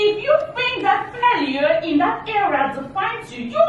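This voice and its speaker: With audible room echo and noticeable background noise, a woman talks at a moderate pace in an extremely high voice that makes very wide pitch swings. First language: not English. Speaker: motivational speaker. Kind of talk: motivational talk.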